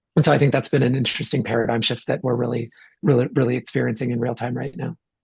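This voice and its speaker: Talking at a very fast pace, a man with a medium-pitched voice shows vocal fry. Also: fairly even intonation. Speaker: tech executive. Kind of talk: podcast interview. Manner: halting with many repetitions.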